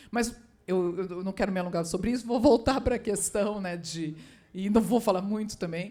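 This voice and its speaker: Speaking at a moderate pace, a woman with a dark, mellow tone holds a medium pitch and ordinary pitch variation. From southern Brazil, Porto Alegre. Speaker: writer. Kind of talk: literary panel talk. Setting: stage with audience. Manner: halting.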